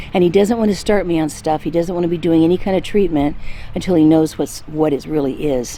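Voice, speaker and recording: A woman with a fairly low pitch talks at a very fast pace amid noticeable background noise. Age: 60s. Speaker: lifestyle vlogger. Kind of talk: casual health update vlog. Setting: outdoors. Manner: halting, many fillers.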